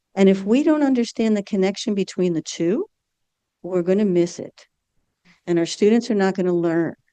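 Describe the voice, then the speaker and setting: Speaking in a normal speaking voice, a woman at a medium pitch keeps a moderate pace, the sound dry and close with no echo. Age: 60s. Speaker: nursing educator. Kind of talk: conference talk.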